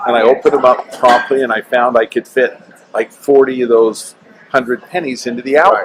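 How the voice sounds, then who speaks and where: Noticeable background noise sits behind a man with an American accent, speaking at a medium pitch and fairly quick pace with fairly even intonation. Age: 60s. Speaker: real estate developer and coin collector. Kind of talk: interview. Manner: halting.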